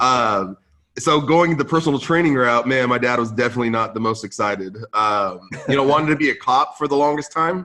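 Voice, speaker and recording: A man talks at a fairly quick pace with very even loudness. His medium pitch shows ordinary variation. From Central California, US (moved from Lebanon at 5). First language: Arabic (English second language). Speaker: podcast host and conference founder. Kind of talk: podcast interview. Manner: casual, filler-heavy.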